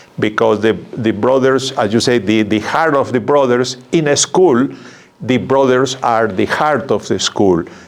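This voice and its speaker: A man's medium-pitched voice with a strong South American accent, ordinary pitch variation and very even loudness. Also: fairly slow pace. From Peru. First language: Spanish. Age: 70s. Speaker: religious brother. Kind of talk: interview. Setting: studio. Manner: halting, repeats words.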